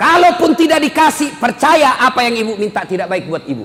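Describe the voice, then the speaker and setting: At a moderate pace, a man with a strong Buginese accent speaks at an extremely high pitch with lively intonation, over noticeable background noise. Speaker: Islamic preacher. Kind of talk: humorous religious sermon. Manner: blunt, expressive, humorous.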